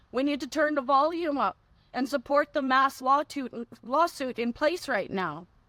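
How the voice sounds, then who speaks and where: In a very clean recording with a silent background, a woman uses a raised, projected voice that is bright and sharp in tone, high in pitch, with ordinary pitch variation. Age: 60s. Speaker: advocate for mefloquine victims' families. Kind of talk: conference speech.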